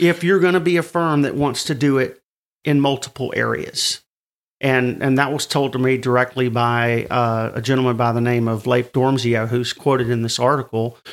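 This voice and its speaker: A normal speaking voice from a man, medium in pitch, with ordinary pitch variation and a moderate pace. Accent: American. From US South. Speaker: newsletter editor. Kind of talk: casual interview.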